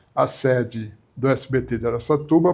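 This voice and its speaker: Against a quiet background, a man's fairly high voice moves with ordinary pitch variation. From southern Brazil, Porto Alegre; raised in São Paulo (Mooca). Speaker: media executive and journalist. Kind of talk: interview. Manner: hesitant, frequent repetitions.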